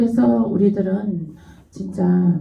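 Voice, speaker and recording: A woman speaks at a medium pitch with a dark, mellow tone. Her voice is somewhat breathy and has audible room echo. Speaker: pastor. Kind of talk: sermon.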